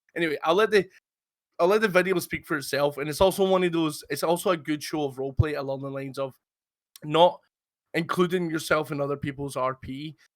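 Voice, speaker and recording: Talking at a very fast pace, a man with a Scottish accent has a fairly high voice and ordinary pitch variation. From Scotland. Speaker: roleplay gaming podcast host. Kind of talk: casual chat. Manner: halting, many fillers and repeats.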